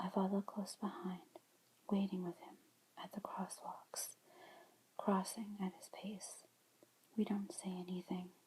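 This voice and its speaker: Speaking at a fairly slow pace with long, frequent pauses, a woman with a medium-pitched, somewhat breathy voice keeps a monotone, flat intonation while her loudness swings widely. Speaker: ASMR creator. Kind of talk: book reading, ASMR. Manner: whispered, soft-spoken.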